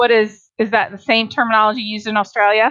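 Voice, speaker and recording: Speaking at a fairly quick pace, a woman with a slight Southern US accent has a fairly high pitch. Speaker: podcast host, dietitian. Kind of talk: interview.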